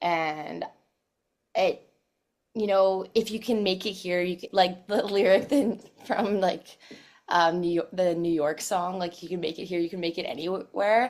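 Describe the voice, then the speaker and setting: Her medium-pitched voice moves at a fairly slow pace with fairly even intonation, as this woman speaks. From Saskatchewan, Canada. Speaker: pop singer. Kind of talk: casual interview.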